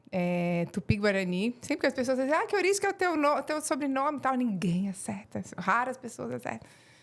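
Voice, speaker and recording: This voice carries a strong Florianópolis accent. Its pitch swings very widely. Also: woman. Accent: strong local Florianópolis. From Florianópolis, Santa Catarina, Brazil. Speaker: acupuncture therapist. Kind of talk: podcast interview. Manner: hesitant, many fillers.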